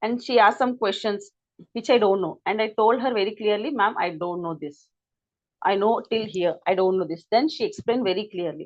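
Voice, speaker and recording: At a fairly quick pace, a woman with an unremarkable speaking voice talks at a fairly high pitch with ordinary pitch variation. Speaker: English teacher. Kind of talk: lecture.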